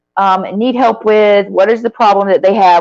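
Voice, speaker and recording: A woman speaks at a medium pitch. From US South, Florida Panhandle near Alabama and Georgia. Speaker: branding coach. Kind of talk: live stream talk to viewers. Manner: casual, with many fillers.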